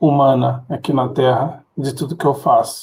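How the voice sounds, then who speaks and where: Somewhat breathy, a man speaks at a fairly slow pace with fairly even intonation. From Rio de Janeiro, Brazil. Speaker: tech professional. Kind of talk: interview. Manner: halting, repeats words.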